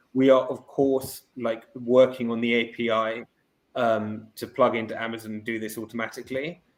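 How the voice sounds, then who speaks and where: A man with a British accent speaks at a medium pitch and moderate pace, flat and monotone in intonation, with big swings in loudness. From Britain. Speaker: startup CEO. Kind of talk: podcast interview with product demo.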